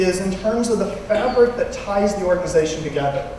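Strong room echo and light background noise surround a man whose voice sits high for a man, moving at a moderate pace with ordinary pitch variation. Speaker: conference presenter. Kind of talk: lecture. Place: hall.

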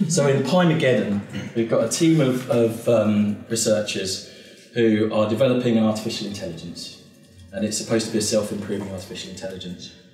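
Faint music plays behind a man talking at a fairly quick pace. His pitch varies in an ordinary way, and the room echo is audible. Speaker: presenter. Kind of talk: casual talk to an audience. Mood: relaxed, humorous. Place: hall.

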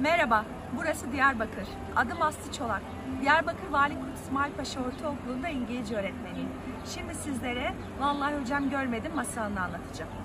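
Fairly quick speech with ordinary pitch variation over loud background noise. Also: woman. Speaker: English teacher telling a folk tale. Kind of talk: storytelling. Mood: calm, warm. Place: waterside. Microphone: phone near.

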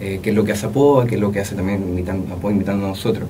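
A man speaks as noticeable background noise carries on behind him. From Chile. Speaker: young poet; guest. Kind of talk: interview. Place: studio. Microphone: studio mic.

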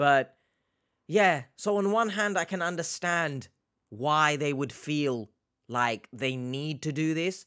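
A man with a British accent speaks very slowly in a fairly high, bright and sharp voice, his intonation lively against a quiet background. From UK. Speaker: reaction YouTuber. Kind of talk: casual reaction commentary. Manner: animated. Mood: reflective, understanding.

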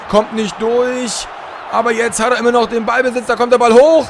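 A man talks at a moderate pace, and there is noticeable background noise behind him. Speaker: video game streamer. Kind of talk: live-style sports commentary over FIFA gameplay highlights. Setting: recorded voiceover over game footage. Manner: casual, friendly, chatty address to viewers.

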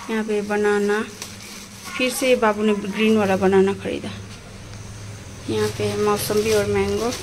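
Through noticeable background noise, a woman talks at a very slow pace. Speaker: family vlogger. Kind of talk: casual vlog chat. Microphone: phone near.

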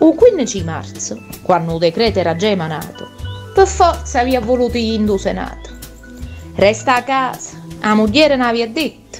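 A woman talks at a moderate pace. Music is heard behind her. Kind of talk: humorous dialect poetry reading.

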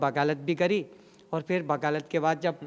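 A man speaks at a fairly slow pace with a fairly high pitch. The background is quiet. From Bhopal, Madhya Pradesh, India. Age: 50s. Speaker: sadhu, former kar sevak. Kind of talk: interview testimony. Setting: in a temple. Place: church. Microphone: handheld.

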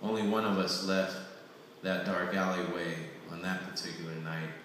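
A man's very deep, low voice in a monotone, flat intonation at a moderate pace, with strong room echo and light background noise. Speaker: poet reading own work. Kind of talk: poetry reading. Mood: solemn, reflective. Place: hall. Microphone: camera far.

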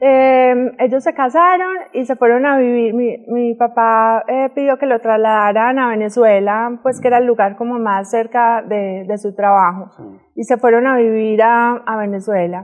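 Against a quiet background, a woman with a fairly high pitch and ordinary pitch variation speaks at a fairly slow pace. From Medellín, Colombia. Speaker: model; interview guest. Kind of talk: interview. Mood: relaxed, storytelling. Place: studio.

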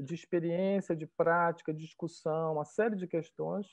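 Against a quiet background, a man talks in a high voice. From Belém, Pará, northern Brazil; Pará, Brazil. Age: 50s. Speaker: art professor and curator; art professor. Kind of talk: interview. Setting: video call. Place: home room. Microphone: earbuds.

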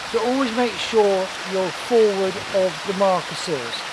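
Through loud background noise, a man talks at a moderate pace with ordinary pitch variation, and the sound is dry with no echo. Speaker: boating instructor. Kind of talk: tutorial. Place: waterside. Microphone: phone near.

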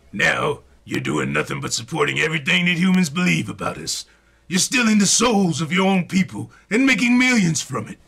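A man puts on a character voice pitched high. He talks at a fairly quick pace. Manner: gruff, scolding, fatherly.

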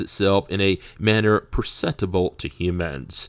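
Recorded very cleanly against a silent background, a plain, everyday voice shows ordinary pitch variation. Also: man. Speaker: audiobook narrator. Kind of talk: audiobook reading of a doctrinal text, scripted narration. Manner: measured, even-paced, formal, didactic.

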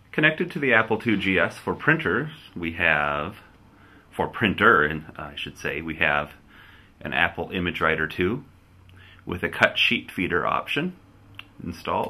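A man's very deep, low voice at a moderate pace, broken by long, frequent pauses. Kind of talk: casual tour narration. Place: home room.

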